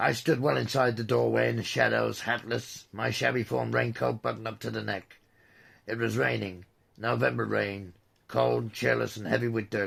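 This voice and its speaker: Using a put-on character voice, a man speaks at a moderate pace, raspy and very deep and low in pitch, with very wide pitch swings. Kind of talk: horror narration. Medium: read story. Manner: brooding, bitter.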